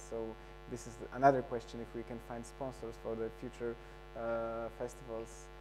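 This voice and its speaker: With music playing in the background, a man with a non-native accent speaks at a fairly quick pace. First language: not English. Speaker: photography festival organizer. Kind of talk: panel discussion. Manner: halting.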